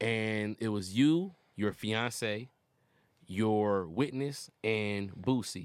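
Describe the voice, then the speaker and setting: On a very clean recording with a silent background, a man with a fairly low pitch and ordinary pitch variation speaks at a very slow pace. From Detroit. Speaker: comedian. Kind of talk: casual chat.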